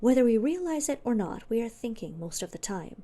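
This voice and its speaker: Soft-spoken and dark, mellow in tone, a woman talks at a moderate pace with ordinary pitch variation. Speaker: ASMR creator. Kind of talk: ASMR book reading.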